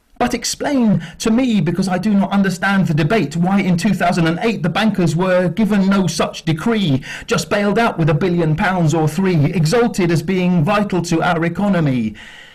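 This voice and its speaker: High-pitched for a man, this voice shows ordinary pitch variation and hardly any pauses. Noticeable background noise is audible behind him. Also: moderate pace, very even loudness. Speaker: spoken word poet. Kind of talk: spoken word poetry performance. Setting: live acoustic night.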